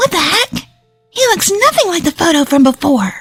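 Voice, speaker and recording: A woman's put-on character voice, squeaky and extremely high in pitch, at a moderate pace over faint music in the background. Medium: read story. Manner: sneering, mocking.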